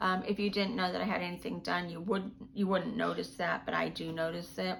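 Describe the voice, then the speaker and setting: With audible room echo, a woman talks at a fairly quick pace in a fairly low pitch with ordinary pitch variation. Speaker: video blogger documenting dental surgery. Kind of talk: personal video update. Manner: halting, many fillers and repeats.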